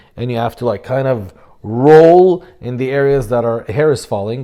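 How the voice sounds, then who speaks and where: A man speaks at a moderate pace with an Arabic accent. His dark, mellow voice sits at a medium pitch with ordinary pitch variation. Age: 30s. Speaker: fitness coach and YouTuber. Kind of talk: casual vlog talk to camera. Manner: halting, with fillers.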